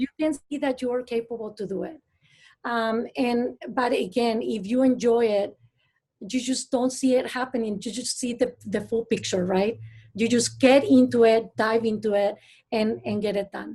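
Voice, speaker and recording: A woman speaks with a Mexican accent. Her tone is dark and mellow. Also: fairly high pitch for a woman, fairly even intonation, moderate pace, quiet background. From Mexico. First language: Spanish. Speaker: astrophysicist. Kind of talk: panel discussion. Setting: video call. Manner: halting.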